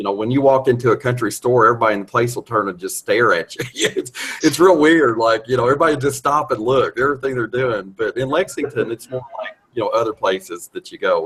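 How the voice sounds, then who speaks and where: A man talks at a very fast pace. He has a Kentucky accent. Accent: Kentucky Southern. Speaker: video chat participant. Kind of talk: casual chat.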